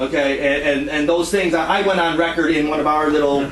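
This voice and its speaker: An American accent against noticeable background noise, with audible room echo. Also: man. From Detroit, US Midwest. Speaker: party member facing charges. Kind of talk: heated meeting testimony. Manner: loud; passionate, animated.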